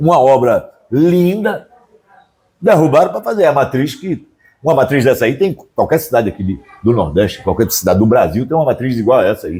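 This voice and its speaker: A man with a fairly high pitch and an animated tone, at a fairly quick pace with very wide pitch swings. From Brazil, Northeast (Pernambuco). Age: 70s. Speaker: writer and cultural producer. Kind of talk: interview.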